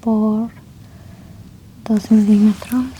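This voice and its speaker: Soft-spoken and very slow, a woman talks at a fairly high pitch with monotone, flat intonation. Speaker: ASMR roleplay doctor. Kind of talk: medical exam ASMR roleplay.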